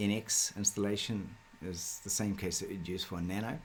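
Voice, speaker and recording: A man speaks at a fairly low pitch with a New Zealand accent. Light background noise can be heard. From New Zealand, South Auckland. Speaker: software developer; presenter. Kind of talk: tutorial. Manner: hesitant, many fillers. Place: home room.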